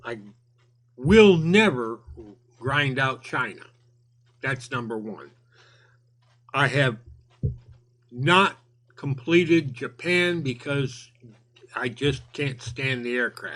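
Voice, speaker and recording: A man speaks at a very slow pace with ordinary pitch variation. He leaves long, frequent pauses. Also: medium pitch for a man. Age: 60s. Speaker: video game youtuber. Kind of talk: video rant.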